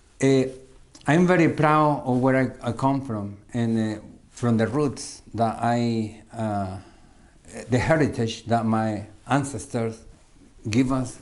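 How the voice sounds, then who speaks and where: Speaking at a very slow pace with a Salvadoran accent, the voice shows ordinary pitch variation, long, frequent pauses and audible room echo. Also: man, medium pitch for a man. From El Salvador. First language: Spanish. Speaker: musician. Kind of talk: interview. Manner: halting, many fillers and repeats.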